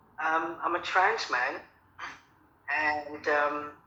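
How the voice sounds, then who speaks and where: A man speaks with a Cockney accent, his voice carrying audible room echo over noticeable background noise. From London, England. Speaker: radio show guest. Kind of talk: interview.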